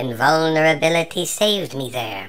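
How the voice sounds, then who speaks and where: In a put-on character voice at a middle pitch, the speaker goes at a fairly slow pace while clear music plays in the background. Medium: read story. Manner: calm, precise.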